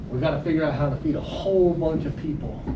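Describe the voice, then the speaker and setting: A man speaks with an American accent and fairly even intonation. Audible room echo and noticeable background noise are present. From US South, Mississippi Gulf Coast. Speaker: agronomy instructor. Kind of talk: lecture. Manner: loud.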